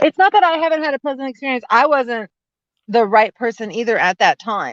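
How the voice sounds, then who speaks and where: A woman speaks loudly at a fairly quick pace, her high voice swinging very widely in pitch with an animated tone. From Italian-American background. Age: 40s. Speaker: lawyer and small business consultant. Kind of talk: casual chat.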